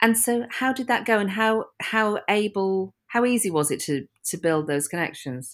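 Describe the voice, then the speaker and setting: A woman at a moderate pace and medium pitch, lively intonation, hardly any pauses, an ordinary speaking voice. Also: very clean recording, silent background. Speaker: podcast host. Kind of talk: casual interview chat.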